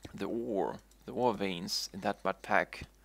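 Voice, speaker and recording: A man's voice with vocal fry, dry and close with no echo, in a very clean recording with a silent background. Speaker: video game streamer. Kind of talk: live gameplay commentary. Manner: stuttering, repeating words; casual, rambling with fillers.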